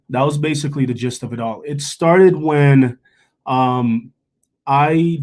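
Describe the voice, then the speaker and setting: In a Jamaican accent, a man talks at a fairly slow pace. His pitch is fairly high, with ordinary variation. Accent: Jamaican, trips on some words. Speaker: chef. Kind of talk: panel discussion.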